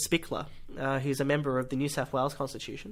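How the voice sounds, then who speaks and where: With an Australian accent, a man talks in a fairly high, bright, sharp voice with ordinary pitch variation on a very clean recording with a silent background. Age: young. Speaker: podcast host. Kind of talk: announcements; podcast interview.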